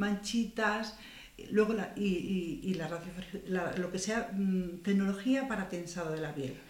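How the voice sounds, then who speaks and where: Very slow speech from a woman at a medium pitch, with ordinary pitch variation. The recording has audible room echo and noticeable background noise. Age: 60s. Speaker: beauty salon owner and skincare expert. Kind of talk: interview. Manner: halting.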